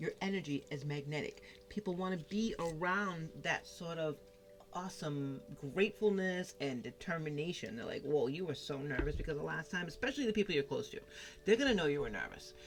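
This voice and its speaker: A woman with a Massachusetts accent, a fairly low pitch and an animated tone, with lively intonation at a fairly quick pace, over noticeable background noise. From Massachusetts, New England. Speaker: tarot card reader. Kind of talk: tarot reading.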